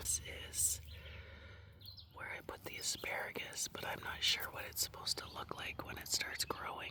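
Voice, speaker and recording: At a fairly slow pace, a woman whispers as noticeable background noise continues. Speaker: vlogger. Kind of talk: casual vlog chat. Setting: in an RV, then outdoors in garden. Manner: whispering.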